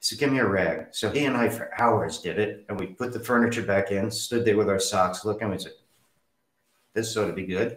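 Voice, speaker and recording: The man's pitch sits fairly low. He delivers his words at a fairly quick pace. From New Jersey, US. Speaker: interview guest sharing life story. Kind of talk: personal storytelling interview. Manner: animated.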